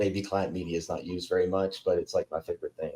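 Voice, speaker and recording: A man talks with a Southern US accent. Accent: Southern twang. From Kentucky, US South. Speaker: software company CTO, podcast guest. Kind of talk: casual tech podcast chat.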